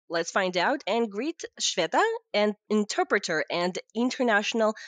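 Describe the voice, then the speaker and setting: A woman with a Russian accent speaks at a moderate pace and a fairly high pitch, her voice swinging very widely, in a dry, close sound with no echo. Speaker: podcast host. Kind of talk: interview.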